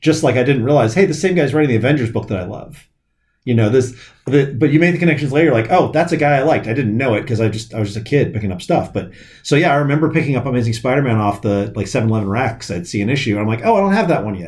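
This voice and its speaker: Somewhat breathy, a man's medium-pitched voice rushes at a very fast pace with lively intonation amid audible room echo. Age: 40s. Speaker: comic shop owner. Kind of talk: casual chat.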